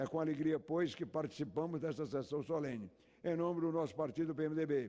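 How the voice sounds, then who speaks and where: A man speaks at a fairly quick pace. His voice is fairly high-pitched, with a dark, mellow tone. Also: ordinary pitch variation, very even loudness. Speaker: politician. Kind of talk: formal speech. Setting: legislative chamber. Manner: formal.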